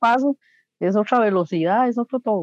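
Woman with a normal speaking voice, fairly high in pitch, lively in intonation, at a moderate pace, with a dry, close sound and no echo. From Costa Rica, Coronado. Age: 40s. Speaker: homemaker and swing dancer. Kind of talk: interview. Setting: video call.

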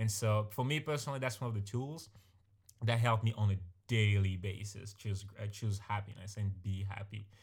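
Somewhat breathy speech at a moderate pace with fairly even intonation, in a very clean recording with a silent background. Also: man, fairly low pitch for a man. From born in a small village abroad. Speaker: podcast co-host. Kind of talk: casual chat. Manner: halting, with many repeated words.

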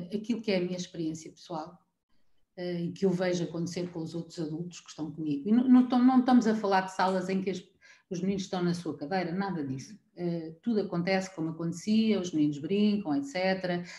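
Speaking at a fairly quick pace, a woman with a fairly low pitch and a dark, mellow, somewhat breathy tone shows ordinary pitch variation and big swings in loudness. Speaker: preschool teacher. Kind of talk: casual chat.

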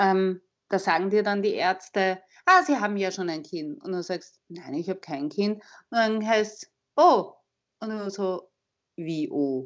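Here is a woman with a Viennese accent. She uses lively intonation. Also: big swings in loudness. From Austria, Vienna. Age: 40s. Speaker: advertising agency head and author. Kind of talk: interview. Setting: phone call.

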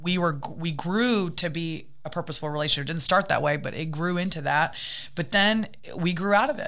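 Using a normal speaking voice, a woman with an American accent talks at a fairly quick pace with fairly low pitch and ordinary pitch variation. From United States. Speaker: interview guest. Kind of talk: casual interview.

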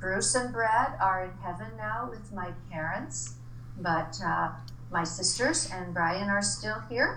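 Someone with an American accent speaks at a very slow pace amid audible room echo and noticeable background noise. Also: woman. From Arizona. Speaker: retired teacher. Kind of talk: interview.

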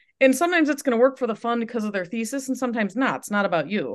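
A woman with an Upper Midwest accent talks at a fairly high pitch. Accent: Upper Midwest American. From West Michigan (Holland). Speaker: tech startup founder and CEO. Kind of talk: interview.

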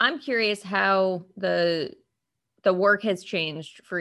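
An unremarkable speaking voice from a woman, fairly low in pitch with ordinary pitch variation, over a quiet background. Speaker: co-host, county clerk. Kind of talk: podcast interview questions.

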